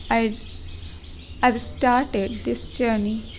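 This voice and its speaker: A woman is speaking. Audible room echo carries her voice. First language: not English. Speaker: vlogger and English learner. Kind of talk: casual vlog monologue. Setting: indoors at home. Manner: slow; halting.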